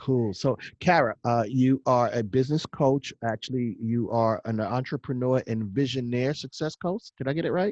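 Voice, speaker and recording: A man with an American accent talks at a moderate pace with hardly any pauses, a medium pitch and ordinary pitch variation, in a dry, close sound with no echo. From United States. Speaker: podcast host. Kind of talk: interview. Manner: casual, uses slang.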